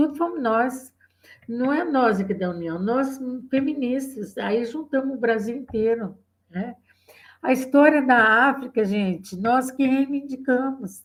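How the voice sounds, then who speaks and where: Ordinary pitch variation marks this fairly slow delivery. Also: woman, high pitch for a woman. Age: 70s. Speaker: feminist activist. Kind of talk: oral history interview. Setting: video call.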